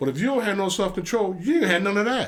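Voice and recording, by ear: A man's high-pitched voice at a fast pace with lively intonation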